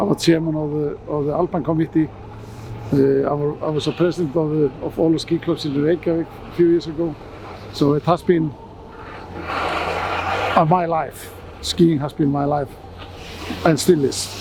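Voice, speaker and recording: Long, frequent pauses break up a moderate pace with monotone, flat intonation. Noticeable background noise sits behind the voice. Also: man, fairly high pitch for a man. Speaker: ski official. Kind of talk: interview. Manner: halting.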